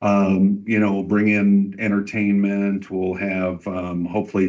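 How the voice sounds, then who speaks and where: A man speaks very slowly in a very deep, low voice with monotone, flat intonation. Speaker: community event organizer. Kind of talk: public meeting presentation. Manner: loud. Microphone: far from the mic.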